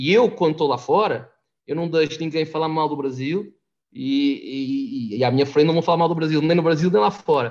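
This man has an unremarkable speaking voice, fairly high in pitch, with lively intonation at a moderate pace. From Portugal. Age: 40s. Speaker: immigrant guest. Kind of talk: casual chat.

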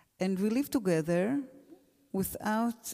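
With an Israeli accent, a woman speaks at a moderate pace. Her intonation is lively. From Israel, Gush Etzion. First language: Hebrew. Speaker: teacher. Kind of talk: panel discussion. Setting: stage with audience. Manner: halting.

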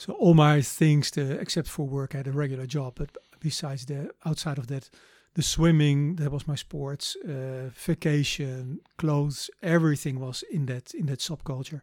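A man with a Dutch accent, somewhat breathy and fairly high-pitched, at a moderate pace with fairly even intonation, in a dry, close sound with no echo and a very clean recording with a silent background. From Netherlands, The Hague. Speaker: missionary. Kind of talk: interview testimony.

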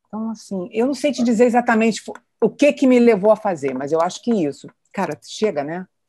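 A woman talks at a fairly quick pace, her pitch swinging very widely. Her tone is dark and mellow, and the background is quiet. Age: 60s. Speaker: retired executive. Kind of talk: personal testimony.

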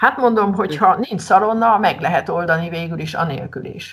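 A woman speaks at a medium pitch, with vocal fry in her voice. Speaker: secondary school teacher. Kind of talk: casual interview chat.

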